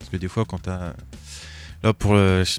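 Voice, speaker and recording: A man's very deep, low voice with ordinary pitch variation and a fairly quick pace, on a very clean recording against a silent background. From France, Troyes. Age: 20s. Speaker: tabletop gaming club member. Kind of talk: casual chat. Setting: studio.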